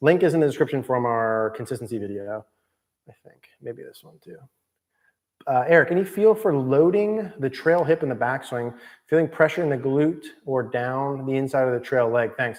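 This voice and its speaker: Lively intonation and big swings in loudness mark a man's delivery at a medium pitch. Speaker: golf coach. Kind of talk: live stream Q&A. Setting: indoor golf studio. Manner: fast.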